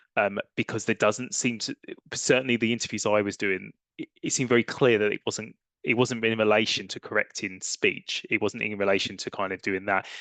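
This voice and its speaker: A man with an English accent and a fairly low pitch talks at a fairly quick pace with fairly even intonation, in a dry, close sound with no echo and a quiet background. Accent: English accent, noticeable. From England. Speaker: academic researcher. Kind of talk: conference Q&A. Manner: halting, with many fillers and restarts.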